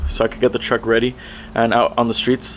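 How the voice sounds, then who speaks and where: Noticeable background noise sits behind a man talking at a medium pitch and a fairly quick pace. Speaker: truck vlogger. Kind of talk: casual vlog talk. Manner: fast.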